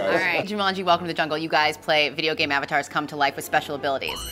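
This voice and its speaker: Over clear background music, a woman with a very deep, low voice talks at a very fast pace with fairly even intonation. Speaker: host / reporter. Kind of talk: press junket interview questions.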